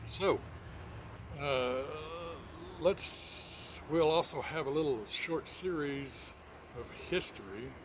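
With an American accent, a man talks at a very slow pace in a relaxed tone, his fairly high pitch showing ordinary variation, with long, frequent pauses and noticeable background noise. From Texas. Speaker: channel host. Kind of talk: casual talk to camera. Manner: relaxed, hesitant, folksy. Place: garden. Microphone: phone near.

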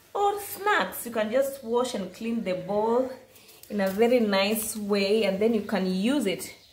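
Amid audible room echo, a woman talks at a fairly slow pace with fairly even intonation. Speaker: craft seller showing products. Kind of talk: product showcase narration. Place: home room. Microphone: phone near.

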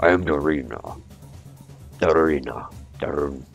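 A gruff, put-on character voice carries an angry tone. Music plays in the background. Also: man. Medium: game stream. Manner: gruff, angry, then jolly.

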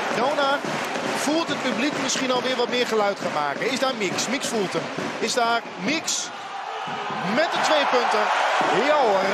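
Fairly slow speech broken by long, frequent pauses, dry with no echo, over loud background noise. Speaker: sports commentator. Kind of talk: live commentary. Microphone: headset.

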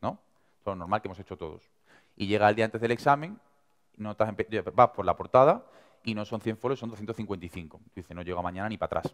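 A man with an Andalusian accent at a fairly low pitch, fairly quick pace, long, frequent pauses, big swings in loudness and ordinary pitch variation, against a quiet background. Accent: Andalusian (Seville). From Seville, Andalusia. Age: 20s. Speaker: young entrepreneur and speaker; speaker. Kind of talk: motivational talk. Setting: stage with audience. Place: hall.

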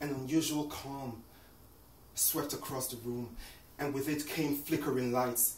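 The delivery is solemn and monotone, with flat intonation, a fairly slow pace and long, frequent pauses. Light background noise and audible room echo are present. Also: man, fairly high pitch for a man. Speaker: poet. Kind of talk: performed poem. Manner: solemn, measured, emotive. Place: home room. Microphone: camera far.

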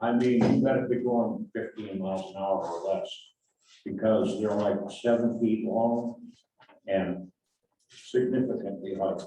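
A man's dark, mellow voice at medium pitch, fairly slow, with ordinary pitch variation, long, frequent pauses and audible room echo. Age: 80s+. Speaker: resident speaking at public comment. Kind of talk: public comment at city meeting. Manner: halting, with fillers.

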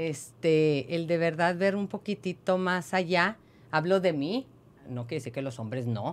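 A woman with a fairly low pitch talks at a fairly slow pace. Her intonation is lively. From Mexico. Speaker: podcast co-host. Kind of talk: casual chat. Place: studio. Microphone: studio mic.

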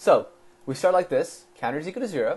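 Words come at a very fast pace from a man. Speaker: coding tutor. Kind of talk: tutorial.

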